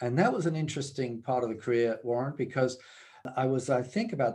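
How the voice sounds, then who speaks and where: Speaking with a British accent, a man has a medium-pitched, dark, mellow voice with ordinary pitch variation. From UK. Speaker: business executive. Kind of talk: interview. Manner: hesitant, many fillers.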